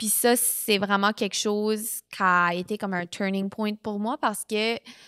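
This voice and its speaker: In a dry, close recording with no echo, a woman speaks fairly slowly with an Acadian accent. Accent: New Brunswick Acadian French. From New Brunswick, Canada. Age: 20s. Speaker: podcast host. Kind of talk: personal testimony. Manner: casual, filler-heavy.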